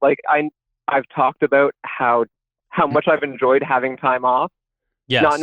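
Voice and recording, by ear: With a strong Canadian accent, a man speaks fairly slowly at a fairly high pitch, in a monotone, flat delivery at very even loudness with long, frequent pauses. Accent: Canadian, strong "about" vowel.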